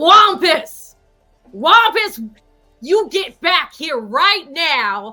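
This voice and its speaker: A woman shouts in a put-on character voice, raised and projected, at an extremely high pitch with very wide pitch swings. She goes at a very slow pace with long, frequent pauses, and faint music plays in the background. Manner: yelling, calling out.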